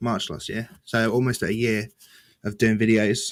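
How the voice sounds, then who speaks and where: Recorded very cleanly with a silent background, a man with an English accent and a medium pitch speaks at a fairly slow pace. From rural England. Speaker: gaming news YouTuber. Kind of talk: podcast interview.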